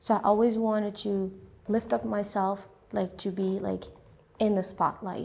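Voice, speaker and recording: A dark, mellow tone in a French accent, at a moderate pace with fairly even intonation and long, frequent pauses. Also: woman, medium pitch for a woman. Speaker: immigrant, interviewee. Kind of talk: interview testimony. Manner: halting, with many fillers and repetitions.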